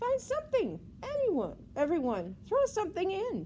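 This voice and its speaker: Over clear background noise, a woman uses a squeaky, put-on character voice at an extremely high pitch and a moderate pace. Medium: read story.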